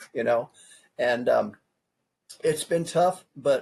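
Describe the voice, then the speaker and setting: With an American accent, the man speaks in a somewhat breathy voice. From California. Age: 50s. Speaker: presidential candidate. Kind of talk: interview. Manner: casual, repetitive.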